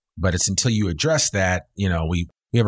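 Against a quiet background, a man talks in an ordinary speaking voice with ordinary pitch variation. The sound is dry and close with no echo. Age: 50s. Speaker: podcast host. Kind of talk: interview. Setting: radio studio.

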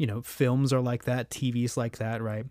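A man with a plain, everyday voice speaks at medium pitch and a moderate pace on a very clean recording with a silent background. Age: 30s. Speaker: composer. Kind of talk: casual interview.

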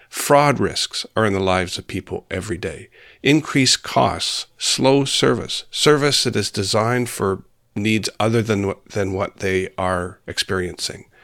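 A man's ordinary speaking voice with a Canadian accent, fairly low in pitch, fairly slow and full of lively intonation, in a very clean recording with a silent background and a dry, close sound with no echo. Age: 60s. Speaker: senator. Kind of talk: interview conversation.

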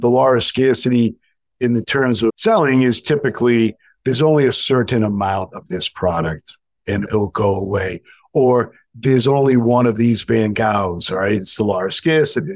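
In an ordinary speaking voice with an American accent, a man talks at a moderate pace and medium pitch with ordinary pitch variation, recorded dry and close with no echo. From New England, US. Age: 60s. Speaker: sales and marketing coach. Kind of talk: casual interview conversation.

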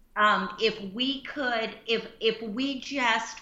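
Audible room echo carries a woman's fairly high voice in an American accent. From US South, Central Florida. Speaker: missionary and former pastor. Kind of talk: casual chat.

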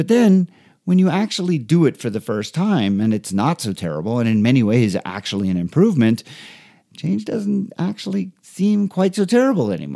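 Very wide pitch swings mark a man's dark, mellow tone at medium pitch. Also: moderate pace. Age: 50s. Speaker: podcast host, emergency physician and triathlon coach. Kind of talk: casual interview and scripted monologue.

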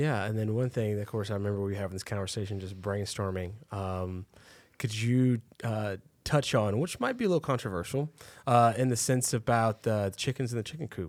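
An ordinary speaking voice from a man with an American accent, fairly low pitch, ordinary pitch variation and a fairly quick pace, in a very clean recording with a silent background. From Texas, Waco. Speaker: podcast co-host. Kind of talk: podcast interview.

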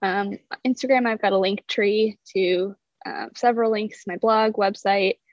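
A normal speaking voice, a woman's fairly high pitch, a fairly slow pace and an American accent. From US Midwest (South Dakota). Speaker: fitness and nutrition coach. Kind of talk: interview. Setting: video call.

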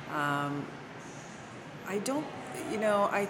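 Amid noticeable background noise and audible room echo, a woman with a slight Canadian accent speaks with lively intonation. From Canada, Toronto. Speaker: winery sales director. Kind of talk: interview. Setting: at a winery.

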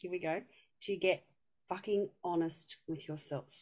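The speaker has a strong Australian accent. The pitch varies in an ordinary way. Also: woman. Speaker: community member. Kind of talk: casual chat.

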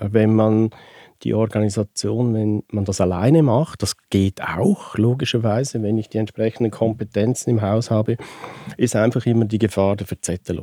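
This is a man with a plain, everyday voice, fairly low in pitch, at a moderate pace. His intonation is fairly even, and the sound is dry and close with no echo. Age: 60s. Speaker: participation consultant. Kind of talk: interview.

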